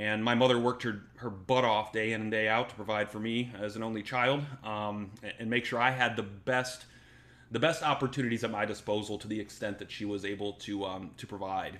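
In a normal speaking voice with an American accent, a man talks at a fairly quick pace with fairly low pitch and fairly even intonation. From US Midwest, northwest Ohio. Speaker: security program founder and veteran. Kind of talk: pre-recorded talk. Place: home room. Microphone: webcam.

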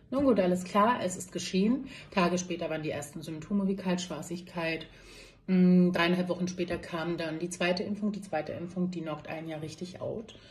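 This woman's fairly low voice moves with ordinary pitch variation. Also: moderate pace. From Berlin, Germany. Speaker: nurse. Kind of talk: personal testimony monologue. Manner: hesitant with many fillers. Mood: upset, earnest appeal. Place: office. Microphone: phone near.

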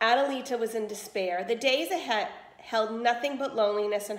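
Ordinary pitch variation comes through an unforced reading voice.

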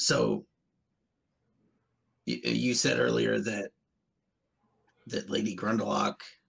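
Putting on a character voice, a man speaks very slowly in a raspy, very deep, low pitch, with long, frequent pauses. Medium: actual play. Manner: cautious, earnest.

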